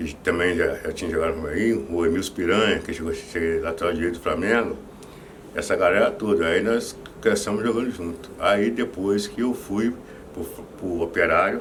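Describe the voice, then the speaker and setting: Moderately paced speech from a man, with noticeable background noise and audible room echo. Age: 60s. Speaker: former football goalkeeper. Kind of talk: interview. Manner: halting, many repetitions.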